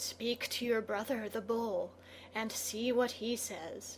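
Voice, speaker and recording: In a put-on character voice, a woman speaks fairly slowly, her raspy, fairly high voice held in a flat monotone. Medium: read story. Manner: cold, sly.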